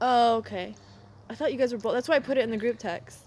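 Talking at a very fast pace, a woman has a fairly high pitch. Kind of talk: casual chat.

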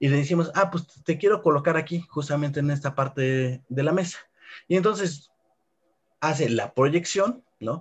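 Somewhat breathy, the voice moves at a moderate pace with ordinary pitch variation in a central Mexican accent. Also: man, fairly high pitch for a man. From Mexico, Puebla. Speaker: robotics professor. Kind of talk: interview.

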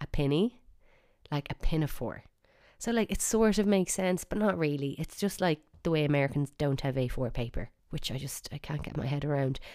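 A woman with an Irish accent speaks at a fairly quick pace, her pitch very deep and low. Her tone is dark and mellow, with lively intonation. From Ireland. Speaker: podcast host. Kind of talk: casual monologue. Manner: chatty.

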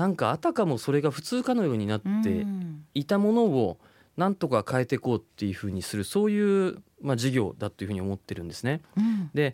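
A man with a fairly high pitch talks at a fairly quick pace, his voice swinging very widely in pitch, on a very clean recording with a silent background. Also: dry, close sound with no echo. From Japan, Kumamoto. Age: 40s. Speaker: startup CEO. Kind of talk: interview.

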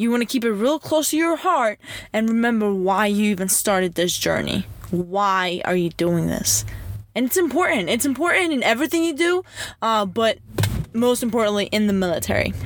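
A woman speaks in a fairly high voice with an animated tone. Her pitch swings very widely while her loudness stays very even. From Greece. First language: Greek. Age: 20s. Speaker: podcast host and military recruiter. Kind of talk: casual Q&A monologue.

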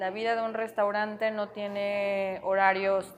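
Quiet background here. A woman speaks at a fairly slow pace. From Mexico. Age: 20s. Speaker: chef and restaurant owner. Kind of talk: interview.

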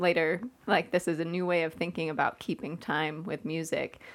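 On a very clean recording with a silent background, a woman with an unremarkable speaking voice talks at a moderate pace, her fairly low pitch carrying fairly even intonation. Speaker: church staff member. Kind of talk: casual chat.

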